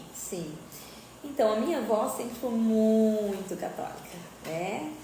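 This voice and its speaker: Amid audible room echo and noticeable background noise, a woman speaks very slowly with lively intonation at a fairly high pitch. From Paraguay-Brazil border (Mato Grosso do Sul). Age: 40s. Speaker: schoolteacher. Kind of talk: testimony.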